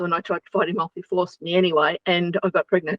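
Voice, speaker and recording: Her intonation monotone and flat, a woman speaks with an Australian accent. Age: 70s. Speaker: interview guest. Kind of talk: interview, personal testimony. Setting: radio show.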